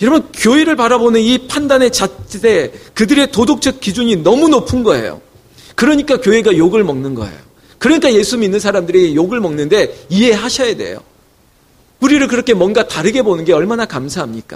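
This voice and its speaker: This man's voice sits high in pitch. His pitch swings very widely. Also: fairly quick pace. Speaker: pastor. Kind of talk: sermon. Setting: church. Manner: animated.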